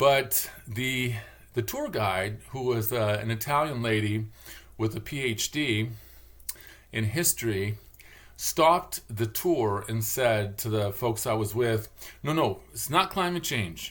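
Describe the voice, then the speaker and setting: A man with an American accent speaks at medium pitch and a very slow pace. His pitch varies in an ordinary way. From Michigan, Detroit area. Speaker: vlogger, linguist. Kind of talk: casual monologue vlog. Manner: rambling, halting with fillers.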